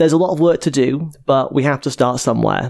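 Moving fairly quickly, a man talks with fairly even intonation. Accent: Welsh. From Wales, Cardiff. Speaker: podcast host. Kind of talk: casual chat.

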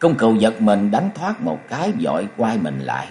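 What you hear is plain reading aloud.

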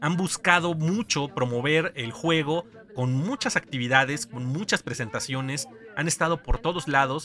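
A man with a Mexican accent speaks at a fairly high pitch with lively intonation. Noticeable background noise runs behind him. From Mexico. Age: 30s. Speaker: podcast host. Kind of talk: casual chat.

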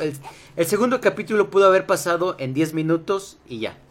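A man speaks at a moderate pace and a fairly high pitch, with noticeable background noise behind him. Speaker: podcast host. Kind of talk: casual chat. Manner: animated. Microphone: mic problem.

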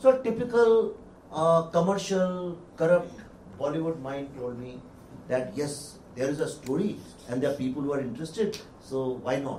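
A man talks at a fairly high pitch and a fairly quick pace, with very wide pitch swings and long, frequent pauses. Audible room echo surrounds the voice. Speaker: film director. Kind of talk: panel discussion.

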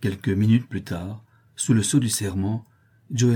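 Fairly even intonation in a natural reading voice

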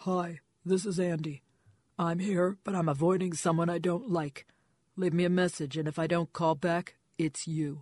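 A man puts on a character voice pitched high for a man. He talks at a moderate pace over a quiet background. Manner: sardonic, blunt.

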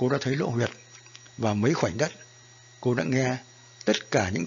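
You can hear a natural reading voice here.

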